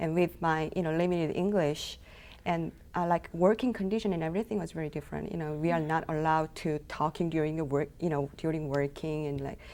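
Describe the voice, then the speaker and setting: Speaking very fast with a Korean accent, a woman has a very deep, low pitch, a dark, mellow tone, and fairly even intonation, all on a very clean recording with a silent background. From South Korea. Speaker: intern. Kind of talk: interview. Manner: halting.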